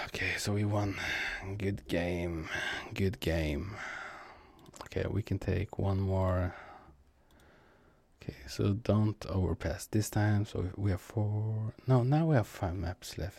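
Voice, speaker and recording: Speaking at a very slow pace with long, frequent pauses, a man with a non-native accent has a somewhat breathy voice and a dark, mellow tone. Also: fairly low pitch for a man, ordinary pitch variation. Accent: non-native accent, speaker working on it. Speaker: gaming streamer. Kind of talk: casual gameplay commentary. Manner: halting, many fillers.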